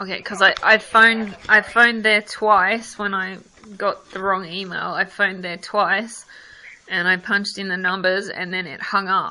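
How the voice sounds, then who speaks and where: A woman with a strong Australian accent, monotone, flat intonation, and a moderate pace. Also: medium pitch for a woman, big swings in loudness. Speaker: customer complaining about service. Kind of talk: phone call with customer service.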